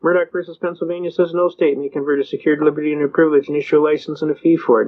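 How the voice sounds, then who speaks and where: A man's fairly high-pitched voice at a very fast pace, over noticeable background noise. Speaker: constitutional rights lecturer. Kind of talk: lecture. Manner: animated.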